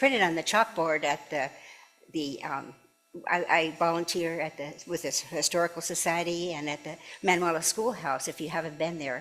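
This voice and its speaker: Over music in the background, a woman talks at a moderate pace with a fairly low pitch. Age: 80s+. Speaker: minister. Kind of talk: sermon. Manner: halting.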